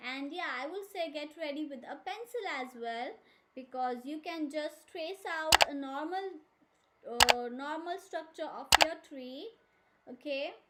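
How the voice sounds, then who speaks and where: In a soft-spoken voice with big swings in loudness and ordinary pitch variation, the speaker goes at a fairly slow pace against noticeable background noise. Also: woman, high pitch for a woman. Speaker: art teacher. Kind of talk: tutorial. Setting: live stream.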